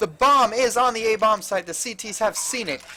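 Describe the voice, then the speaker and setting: A man's raised, projected voice, high-pitched, at a moderate pace, with music in the background. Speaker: esports caster. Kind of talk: casual chat; live commentary. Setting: LAN center, adjacent room to players. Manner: lowers voice at times.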